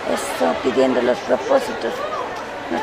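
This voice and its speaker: Against crowd noise in the background, a woman talks at a moderate pace in a dry sound with no echo. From Ecuador. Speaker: spiritual healer (limpia). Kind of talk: guided spiritual cleansing instructions. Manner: soft-spoken, calm, relaxing. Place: market.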